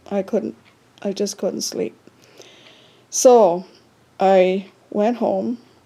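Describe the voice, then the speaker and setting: In an American accent, a dark, mellow tone moves at a very slow pace with fairly even intonation. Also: woman. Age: 70s. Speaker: vlogger. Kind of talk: casual personal story. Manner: halting.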